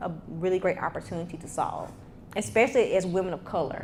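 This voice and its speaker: A woman with a Mississippi accent speaks at a medium pitch. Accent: Southern US, Mississippi. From US South, Mississippi (small town near Jackson). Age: 30s. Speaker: tech entrepreneur and speaker. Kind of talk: motivational talk with Q&A. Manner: casual, conversational.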